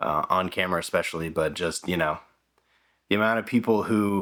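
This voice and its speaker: On a very clean recording with a silent background, a man mumbles at a moderate pace in a very deep, low voice with fairly even intonation. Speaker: filmmaker YouTuber. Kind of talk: casual vlog monologue. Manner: mumbly, mispronounces words; halting, many fillers and restarts.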